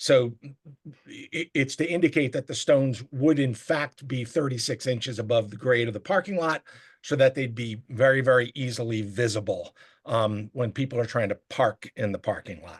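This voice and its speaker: A man's somewhat breathy voice at medium pitch, with ordinary pitch variation, big swings in loudness and a moderate pace, dry and close with no echo. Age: 70s. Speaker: applicant presenting to zoning board. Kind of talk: public hearing presentation. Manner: halting, many fillers.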